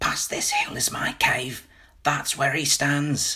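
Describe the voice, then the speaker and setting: Using a raspy, put-on character voice, a man speaks at a fairly slow pace. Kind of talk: hushed, near-whisper. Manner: small, almost inaudible voice.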